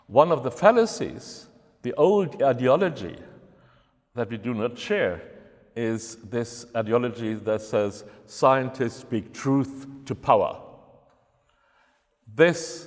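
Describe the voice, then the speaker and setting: Speaking with a German accent, a man has a medium pitch and lively intonation. His pace is very slow, with long, frequent pauses. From Germany. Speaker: university researcher. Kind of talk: lecture.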